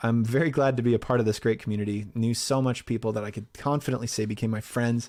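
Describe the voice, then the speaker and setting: On a very clean recording with a silent background, a man speaks at a medium pitch. His delivery is very fast, with fairly even intonation. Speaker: voice actor and movie recap narrator. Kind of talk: casual Q&A chat.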